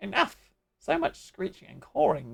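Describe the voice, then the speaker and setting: A raspy put-on character voice sits at low-to-middle pitch. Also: moderate pace. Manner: screeching, irritated.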